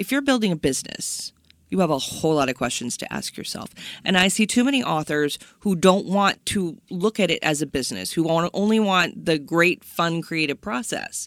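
In a very clean recording with a silent background, a woman with a plain, everyday voice speaks at a moderate pace and fairly low pitch, her intonation lively. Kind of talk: interview, conversational.

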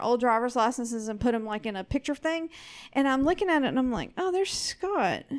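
Someone talks at a fairly quick pace in a Southern US accent. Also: woman. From US South. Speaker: co-host of another show, producer. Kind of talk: casual chat.

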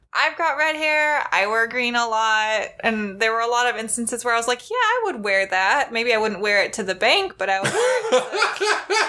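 Over noticeable background noise, a woman with a high pitch speaks at a moderate pace with lively intonation and hardly any pauses. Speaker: podcast host. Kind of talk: casual chat.

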